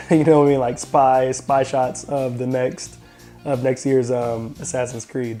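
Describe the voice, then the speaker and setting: Music plays in the background as a man talks at a fairly slow pace. His medium-pitched voice has fairly even intonation. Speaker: tech and gaming video host. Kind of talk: casual talk to camera.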